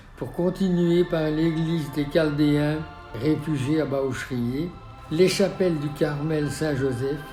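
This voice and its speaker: Over background music, a man with a fairly high pitch speaks at a very slow pace with fairly even intonation. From Belgium. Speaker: architect. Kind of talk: documentary memoir narration. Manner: passionate.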